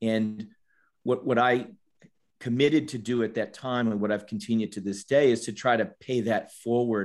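With an American accent, a man at a medium pitch speaks at a moderate pace with fairly even intonation. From US East Coast, Washington, D.C. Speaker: supply chain consultant. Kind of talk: interview.

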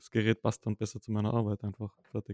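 In a dry, close sound with no echo, a man with a Tyrolean accent speaks in a monotone, flat way with a dark, mellow tone. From Austria, Tyrol. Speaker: podcast co-host, photographer. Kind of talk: casual chat.

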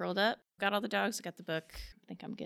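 Vocal fry colors this voice with an American accent on a very clean recording with a silent background. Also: woman. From Kansas, US. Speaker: strength coach. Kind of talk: casual interview.

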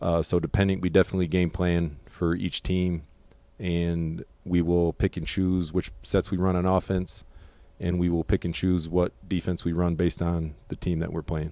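A dark, mellow tone at a moderate pace, with little pitch movement. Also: man, low pitch for a man.

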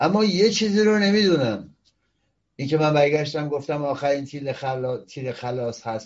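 Animated in tone, a man speaks at a moderate pace with a fairly high pitch and lively intonation. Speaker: political commentary show host, opposition activist. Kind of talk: political commentary monologue.

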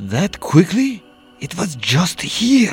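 A man's put-on character voice in a Russian accent, high-pitched with very wide pitch swings, faint music in the background. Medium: read story.

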